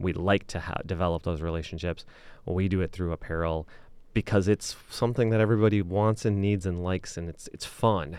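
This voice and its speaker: A man with a Midwestern American accent, very deep and low in pitch, at a fairly quick pace with fairly even intonation, on a very clean recording with a silent background. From Michigan, Lansing area (Okemos). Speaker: business owner. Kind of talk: interview. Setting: studio.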